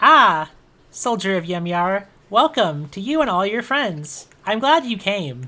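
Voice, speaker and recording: A female-sounding, put-on character voice at medium pitch swings very widely up and down at a fairly slow pace. The recording is very clean, with a silent background. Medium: actual play. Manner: smug, mocking.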